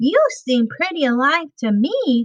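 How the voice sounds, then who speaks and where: A woman's squeaky, high-pitched, put-on character voice at a fairly slow pace. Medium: read story.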